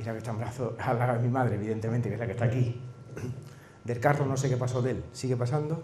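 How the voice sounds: A man talks at a fast pace and medium pitch, his intonation fairly even. His tone is slightly mellow, and the room echo is strong.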